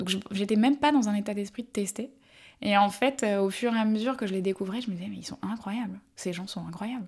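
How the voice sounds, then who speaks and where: A woman speaks at a fairly quick pace with medium pitch, ordinary pitch variation, and a somewhat breathy voice. Her loudness swings widely, and the recording is very clean with a silent background. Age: 30s. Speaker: brand marketing executive. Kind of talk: interview.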